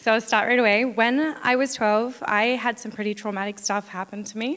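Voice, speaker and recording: A woman's fairly high voice holds fairly even intonation against noticeable background noise. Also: fairly quick pace. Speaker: church member sharing baptism testimony. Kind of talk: testimony. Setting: church stage. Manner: reading from written notes.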